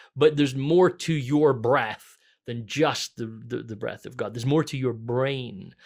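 In a Scottish accent, a man speaks at a fairly slow pace and a medium pitch, with ordinary pitch variation. His loudness swings widely, and the recording is very clean with a silent background. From Scotland. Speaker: pastor. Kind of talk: casual chat.

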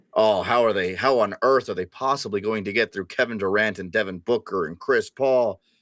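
A man with an ordinary speaking voice, medium in pitch and at a fairly quick pace, in a dry, close sound with no echo on a very clean recording with a silent background. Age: 20s. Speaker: Nuggets fan YouTuber, student. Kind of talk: casual sports analysis chat.

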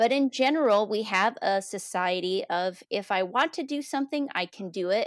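A woman with an unremarkable speaking voice talks at a medium pitch and a fairly quick pace with lively intonation and hardly any pauses, the sound dry and close with no echo on a very clean recording with a silent background. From United States. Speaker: school podcast co-host, educator. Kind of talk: casual chat.

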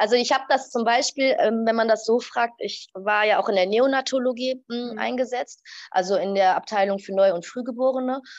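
This woman speaks at a fairly quick pace with ordinary pitch variation. The background is quiet. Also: fairly high pitch for a woman. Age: 30s. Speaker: pediatrician. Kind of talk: interview. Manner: hesitant, many fillers.

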